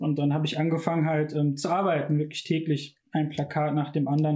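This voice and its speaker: A man with a plain, everyday voice speaks at a fairly high pitch. His pace is fairly quick. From Ruhr area, Bochum. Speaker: design student. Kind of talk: casual chat.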